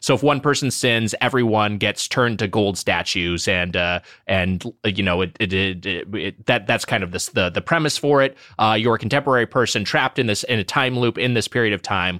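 Fairly quick, bright and sharp male voice, fairly low-pitched, in an American accent, dry and close with no echo in a very clean recording with a silent background. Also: ordinary pitch variation. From Southern California. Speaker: podcast co-host. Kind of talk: casual chat.

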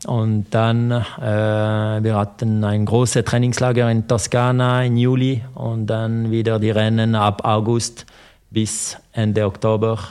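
At a very slow pace, a man with a French accent talks at a medium pitch in a monotone, flat intonation with very even loudness. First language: French (speaking German). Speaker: former pro cyclist. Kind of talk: interview. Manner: halting.

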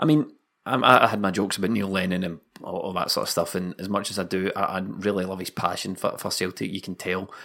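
In a very clean recording with a silent background, a man speaks at a very fast pace with a very deep, low pitch. His tone is animated, with ordinary pitch variation. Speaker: podcast host. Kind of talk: casual football banter. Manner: animated, jokey.

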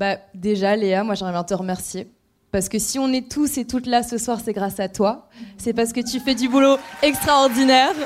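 Moderate pace and ordinary pitch variation in a plain, everyday voice. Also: woman, fairly high pitch for a woman. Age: 20s. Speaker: lawyer. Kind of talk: casual chat. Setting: stage with audience.

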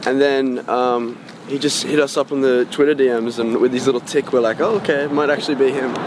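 Noticeable background noise runs under the speech. The speaker has an Australian accent and fairly even intonation. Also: man, medium pitch for a man, fairly quick pace. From Australia, Sydney northern beaches. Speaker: musician. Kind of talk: casual interview.

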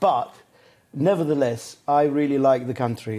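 With an Italian accent, a man speaks in a dark, mellow tone. His intonation is fairly even. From Italy, Adriatic coast. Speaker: celebrity chef. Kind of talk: casual chat over a meal.

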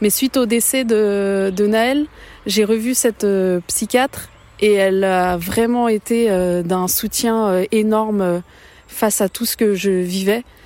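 A woman with a fairly high pitch speaks in a dark, mellow tone with fairly even intonation. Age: 30s. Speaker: podcast creator, bereaved mother. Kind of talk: personal testimony. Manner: halting.

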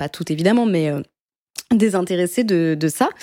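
In a very clean recording with a silent background, a woman speaks at a moderate pace in a dark, mellow, medium-pitched voice with ordinary pitch variation. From France, Paris. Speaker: podcast host. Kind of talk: casual chat.

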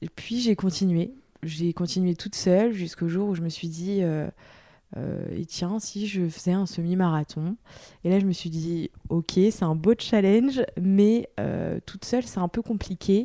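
Recorded very cleanly against a silent background, the sound is dry and close with no echo. A woman speaks at a fairly slow pace in a medium pitch with a dark, mellow tone. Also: ordinary pitch variation. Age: 20s. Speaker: sportswear brand founder. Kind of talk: personal testimony interview. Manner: hesitant, many fillers and repetitions.

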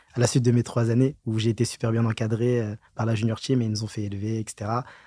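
On a very clean recording with a silent background and a dry, close sound with no echo, a man at a medium pitch speaks fairly quickly in a somewhat breathy, dark, mellow tone with monotone, flat intonation. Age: young. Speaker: auditor. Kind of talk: interview.

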